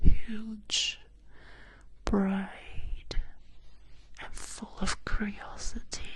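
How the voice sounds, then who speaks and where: A very slow whisper broken by long, frequent pauses. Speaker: ASMR storyteller. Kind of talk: whispered bedtime roleplay story. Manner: whispered. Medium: role play.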